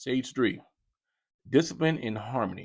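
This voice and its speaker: In a very clean recording with a silent background, a man speaks in an animated tone with ordinary pitch variation. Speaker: parenting podcast host, father. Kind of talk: casual monologue.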